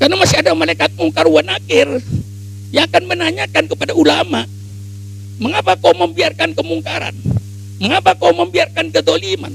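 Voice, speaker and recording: Over music in the background, a man talks at a fairly quick pace in an animated tone, leaving long, frequent pauses. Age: 80s+. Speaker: Islamic cleric. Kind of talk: speech.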